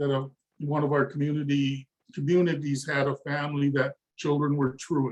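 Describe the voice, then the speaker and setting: A man's somewhat breathy, fairly high voice stays in a flat monotone. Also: moderate pace. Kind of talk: webinar discussion. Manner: halting, many fillers and repetitions.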